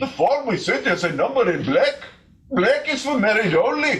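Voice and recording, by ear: A man puts on a character voice at an extremely high pitch, with big pitch swings and a fairly bright tone. He keeps a moderate pace, and audible room echo surrounds him.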